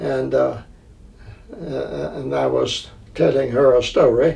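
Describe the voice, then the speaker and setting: In a Tennessee accent, a man with a fairly low pitch speaks at a very slow pace with very wide pitch swings, with audible room echo around him. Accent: Southern US (Tennessee). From Middle Tennessee (Franklin, Williamson County). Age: 80s+. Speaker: retired chamber of commerce director. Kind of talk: interview. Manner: halting, many fillers and repetitions.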